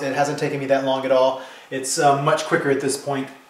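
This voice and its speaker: A man talks at a fairly high pitch. Noticeable background noise and audible room echo surround his voice. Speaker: painter teaching his technique. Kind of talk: tutorial. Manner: fast; hesitant, many fillers and restarts.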